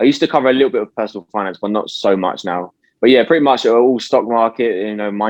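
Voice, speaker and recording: A man with a British accent talks very fast at a medium pitch, with ordinary pitch variation and hardly any pauses. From UK. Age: 20s. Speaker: youtuber and stock investor. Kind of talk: casual interview.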